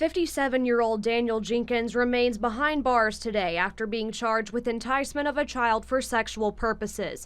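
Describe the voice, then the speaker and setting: In an unremarkable speaking voice, a woman talks at a moderate pace and a fairly high pitch, with ordinary pitch variation and very even loudness. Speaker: TV news reporter. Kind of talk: TV news report.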